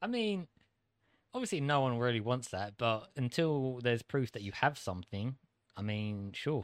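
In a British accent, a man talks at a moderate pace on a very clean recording with a silent background. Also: medium pitch for a man. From UK. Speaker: co-host. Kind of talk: casual chat.

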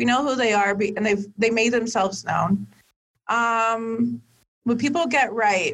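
Fairly high in pitch, a woman with an American accent and an unremarkable speaking voice talks at a fairly slow pace with fairly even intonation. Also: very even loudness. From Miami, Florida (Dominican family). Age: 20s. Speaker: political fundraiser. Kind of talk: casual interview.

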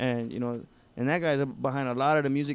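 A man talks at a fairly quick pace in a plain, everyday voice. His medium pitch holds fairly even intonation. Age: 20s. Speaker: hip-hop recording artist. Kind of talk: casual interview.

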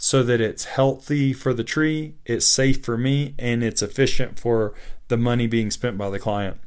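Here a man talks at a moderate pace, medium in pitch, with fairly even intonation. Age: 30s. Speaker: podcast host and tree climber. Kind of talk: solo podcast monologue. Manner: hesitant with fillers and repetitions.

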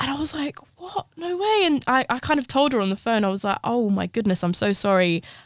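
A woman with a London accent speaks in a high pitch with very wide pitch swings, her voice dry and close with no echo. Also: fairly quick pace, hardly any pauses. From London (Harrow), Brazilian parents. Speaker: fashion designer and artist. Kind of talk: interview.

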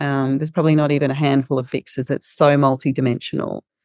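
A woman with an Australian accent, very deep and low in pitch, monotone and flat in intonation, dry and close with no echo. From regional Victoria, Australia. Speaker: social enterprise founder and CEO. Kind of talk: interview conversation. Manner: hesitant, many filler words.

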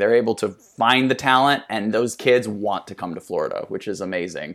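A normal speaking voice with an American accent, fairly even intonation and a fairly quick pace, in a very clean recording with a silent background. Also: man. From US Midwest, South Dakota. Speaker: dancer and choreographer. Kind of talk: casual interview chat.

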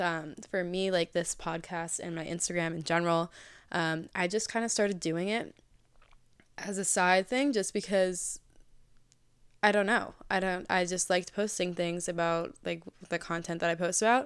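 On a very clean recording with a silent background, a woman with an American accent talks at a moderate pace and fairly low pitch in an unremarkable speaking voice. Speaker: podcast host. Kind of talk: casual monologue. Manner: bubbly, casual, many fillers.

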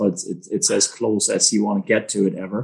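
A man with a German accent, at a moderate pace. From Germany. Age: 30s. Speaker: agricultural entrepreneur. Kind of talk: interview.

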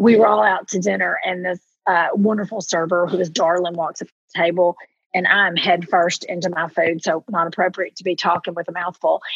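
Speaking at a fairly quick pace in an animated tone, a woman with a fairly low pitch and an American accent sounds dry and close, with no echo. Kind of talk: casual chat. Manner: animated storytelling.

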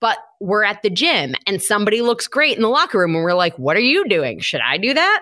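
With an American accent and vocal fry, a woman talks at a fairly quick pace with hardly any pauses, her fairly high, bright, sharp voice swinging very widely in pitch at very even loudness. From Michigan. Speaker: health coach. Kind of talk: interview.

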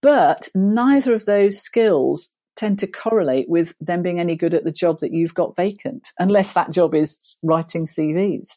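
In a very clean recording with a silent background, a woman with a British accent speaks at a medium pitch with lively intonation and a dark, mellow tone. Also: moderate pace. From Britain. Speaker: HR and hiring consultant. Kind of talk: casual interview chat.

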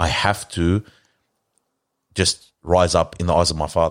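A man with a very deep, low pitch and an Australian accent, monotone and flat in intonation, with long, frequent pauses, on a very clean recording with a silent background. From Australia and Lebanon. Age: 30s. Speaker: car preparation worker and community reciter. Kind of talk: casual interview. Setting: studio.

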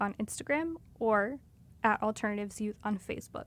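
A woman speaks at a fairly quick pace in a fairly high voice with ordinary pitch variation. It is a plain, everyday voice on a very clean recording with a silent background. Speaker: show announcer. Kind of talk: scripted narration.

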